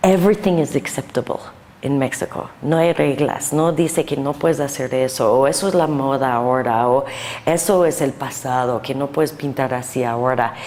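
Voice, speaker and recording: A woman with an American accent, very deep and low in pitch, at a moderate pace and with ordinary pitch variation. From US Northeast (New Jersey). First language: English (speaking Spanish). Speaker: painter. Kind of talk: interview. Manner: halting.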